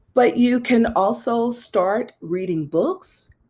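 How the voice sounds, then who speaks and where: In an American accent, a woman talks with an animated tone, a fairly high pitch and vocal fry. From US South. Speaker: pastor and anti-racism coach. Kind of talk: interview.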